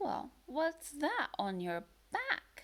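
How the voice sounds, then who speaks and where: Putting on a character voice, a woman uses a gentle tone with very wide pitch swings. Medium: read story. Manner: motherly, gentle.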